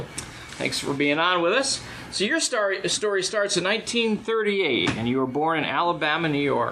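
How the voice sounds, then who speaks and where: A man's high-pitched voice with lively intonation and very even loudness, at a moderate pace with hardly any pauses, amid noticeable background noise. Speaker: podcast host and interviewer. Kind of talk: podcast interview questions.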